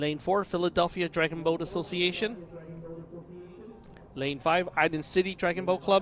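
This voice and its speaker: Loud and high-pitched, a man speaks with fairly even intonation and long, frequent pauses against noticeable background noise. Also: moderate pace. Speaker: race announcer. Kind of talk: live sports commentary.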